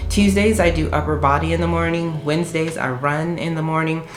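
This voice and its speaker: Against music in the background and audible room echo, a woman with a very deep, low voice speaks in an animated tone at a fairly quick pace. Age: 40s. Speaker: lifestyle vlogger. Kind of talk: casual vlog talk to camera.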